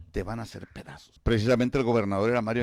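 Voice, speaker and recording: A man talks very fast on a very clean recording, the background silent. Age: 70s. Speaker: retired teacher and farmer, governor's father. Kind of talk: radio interview. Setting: radio studio. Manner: halting, repeats words.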